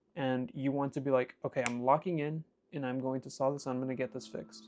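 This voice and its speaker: A man's fairly high-pitched voice at a fairly quick pace, with music in the background. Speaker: self-improvement vlogger and truck driver. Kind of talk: motivational monologue. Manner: casual, hesitant fillers.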